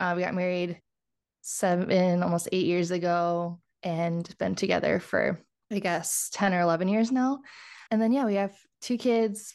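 Woman of medium pitch in an Upper Midwest accent, very even in loudness, ordinary pitch variation, moderate pace, quiet background. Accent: Upper Midwest American. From US Midwest, southeast Wisconsin (Kenosha). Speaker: laboratory scientist and healthcare leader, podcaster. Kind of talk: casual interview chat. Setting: video call.

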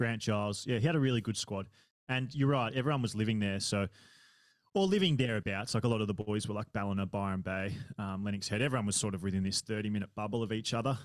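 In a very clean recording with a silent background, a man with an Australian accent talks very fast at a fairly low pitch. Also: ordinary pitch variation. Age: 30s. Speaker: triathlon podcaster and age-group triathlete. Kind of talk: casual interview chat.

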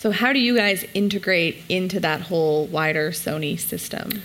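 A woman talks in an ordinary speaking voice at a medium pitch, with ordinary pitch variation. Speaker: conference panel moderator. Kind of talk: moderated panel discussion. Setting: stage with audience.

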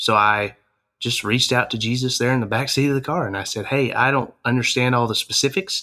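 With an Arkansas accent, a man talks at a moderate pace in a medium-pitched voice, his bright, sharp tone held to fairly even intonation. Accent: Southern US (Arkansas). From Arkansas, Harrison. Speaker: campus ministry leader. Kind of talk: interview.

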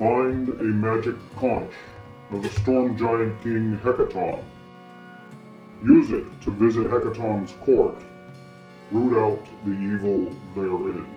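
Over clear background music, a man puts on a booming character voice at medium pitch and a fairly slow pace. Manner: commanding.

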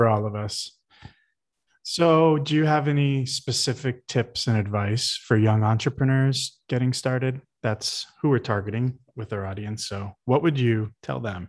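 A man's ordinary speaking voice, medium in pitch with ordinary pitch variation, at a fairly slow pace against a quiet background. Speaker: podcast host. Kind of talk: casual chat.

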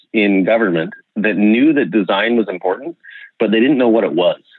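Speaking at a fairly quick pace in a western Canadian accent, the voice has lively intonation. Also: man. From Okanagan, British Columbia, Canada. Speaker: designer and urbanism writer. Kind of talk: casual conversation. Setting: remote call.

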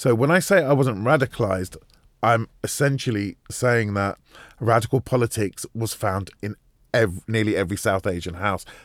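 With a London accent and a medium pitch, a man talks at a moderate pace with ordinary pitch variation, the sound dry and close with no echo on a very clean recording with a silent background. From West London. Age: 50s. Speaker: broadcaster and documentary presenter. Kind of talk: interview.

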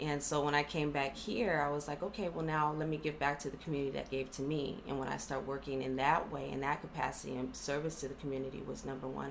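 In an American accent, a woman talks at a very fast pace with hardly any pauses, her very deep, low pitch held in fairly even intonation, amid audible room echo and noticeable background noise. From Los Angeles County, California. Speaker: economic development program representative. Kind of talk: interview.

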